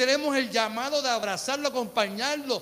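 Over noticeable background noise, a man speaks in an animated, warm tone at an extremely high pitch. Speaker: pastor. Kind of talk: sermon preached live to a church congregation, rhetorical questions and calls for amen. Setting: church. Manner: animated, fervent preacher, repeats phrases for emphasis, colloquial and warm.

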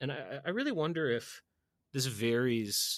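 A man's plain, everyday voice with an American accent at a medium pitch, with ordinary pitch variation, on a very clean recording with a silent background. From US Northeast (Boston). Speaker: podcast host. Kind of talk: casual chat.

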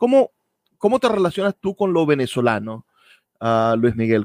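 The sound is dry and close with no echo. A man speaks at a moderate pace with very wide pitch swings. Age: 30s. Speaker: radio host. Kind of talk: radio interview.

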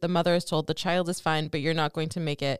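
Very fast and fairly low-pitched, a woman speaks with fairly even intonation in a very clean recording with a silent background and a dry, close sound that has no echo. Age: 30s. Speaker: podcast co-host, marketing professional. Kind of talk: casual chat.

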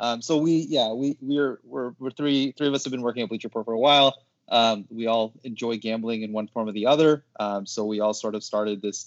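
An ordinary speaking voice from a man at medium pitch, fairly quick and with hardly any pauses, with ordinary pitch variation. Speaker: sports media social team member. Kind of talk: casual chat. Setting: video call.

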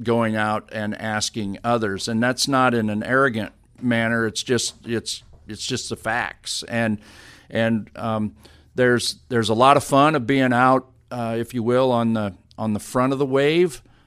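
A man's plain, everyday voice, medium in pitch, fairly slow, with fairly even intonation, on a very clean recording with a silent background. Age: 50s. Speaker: sports medicine director. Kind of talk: interview. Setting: office.

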